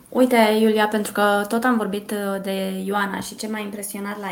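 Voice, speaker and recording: At a moderate pace, a woman speaks at medium pitch against noticeable background noise. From Brașov, Romania. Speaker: recruitment coordinator. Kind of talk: podcast interview.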